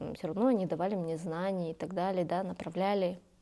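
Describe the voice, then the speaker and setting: She speaks with a tone that is dark and mellow. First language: Kazakh (speaking Russian). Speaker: youth leader and community activist. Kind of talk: interview. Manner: many hesitations and fillers.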